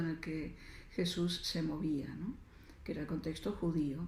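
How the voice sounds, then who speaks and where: With audible room echo, a woman talks at a moderate pace in a fairly low, somewhat breathy voice with a dark, mellow tone and fairly even intonation. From Argentina. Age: 60s. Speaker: writer and feminist spirituality speaker. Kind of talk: lecture. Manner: hesitant, many fillers.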